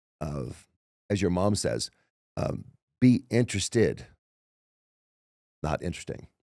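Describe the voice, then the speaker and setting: A man's fairly low voice with very wide pitch swings and vocal fry. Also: very clean recording, silent background. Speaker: motivational speaker. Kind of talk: casual chat. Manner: fast; slurred.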